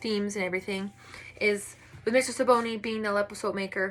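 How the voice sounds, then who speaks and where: A woman with a medium pitch talks in a bright, sharp tone and a monotone, flat intonation. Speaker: student. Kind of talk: class presentation. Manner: fast.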